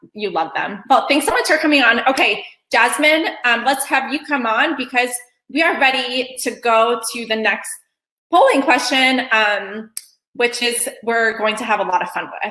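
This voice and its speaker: A woman's high-pitched voice, bright and sharp in tone, at a moderate pace with ordinary pitch variation. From Kosovo, former Yugoslavia. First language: Albanian. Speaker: event host, moderator. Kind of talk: virtual event hosting, casual. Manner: frequent filler ums, conversational.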